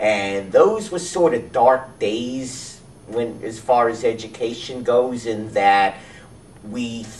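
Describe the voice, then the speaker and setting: Against noticeable background noise and audible room echo, a man speaks at a very slow pace with ordinary pitch variation. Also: medium pitch for a man. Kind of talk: interview.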